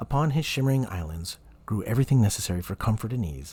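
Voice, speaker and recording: On a very clean recording with a silent background, a man with a fairly low pitch and a dark, mellow, somewhat breathy tone talks at a very fast pace with lively intonation. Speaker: voice actor. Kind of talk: audiobook reading.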